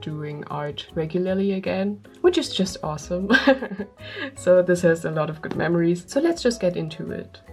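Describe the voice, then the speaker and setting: Music plays in the background as a woman speaks with big swings in loudness. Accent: non-native. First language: not English. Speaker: artist vlogger. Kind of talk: casual chat. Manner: rambling, with fillers.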